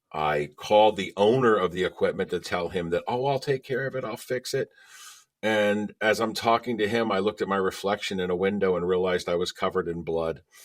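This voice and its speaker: A man talks at a fairly quick pace in a normal speaking voice, fairly low in pitch with ordinary pitch variation. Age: 60s. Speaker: lawyer and ventriloquist. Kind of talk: interview conversation.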